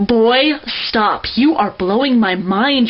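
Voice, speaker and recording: Noticeable background noise sits behind this woman's fairly high voice. Her pitch varies in an ordinary way. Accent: American. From United States. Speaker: poet. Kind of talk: spoken word poetry performance.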